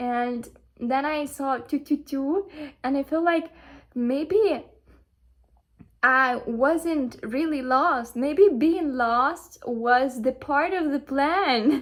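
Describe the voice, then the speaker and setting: In a Ukrainian accent, a woman talks at a very slow pace in a high voice with ordinary pitch variation. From Ukraine. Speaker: spiritual content creator. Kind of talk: casual motivational monologue. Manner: halting, many fillers.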